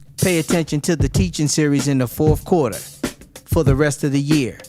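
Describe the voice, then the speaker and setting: A fairly high-pitched man's voice with ordinary pitch variation and music in the background. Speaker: minister. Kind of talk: religious teaching message.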